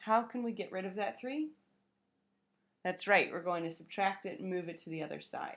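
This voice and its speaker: A woman talks at a fairly quick pace with lively intonation and a medium pitch. She has a normal speaking voice. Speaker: math teacher. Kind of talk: lecture.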